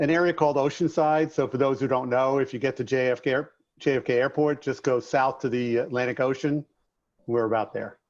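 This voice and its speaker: A man talks at a fairly quick pace with a slight New York accent. His medium-pitched voice keeps a fairly even intonation over a quiet background. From New York, Long Island. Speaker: contractor business coach and author. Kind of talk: podcast interview.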